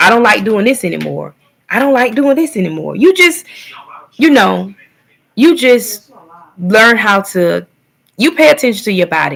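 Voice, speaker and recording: A woman speaks in a fairly high, animated voice whose pitch swings very widely. Her pace is moderate, broken by long, frequent pauses. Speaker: vlogger. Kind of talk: casual livestream monologue.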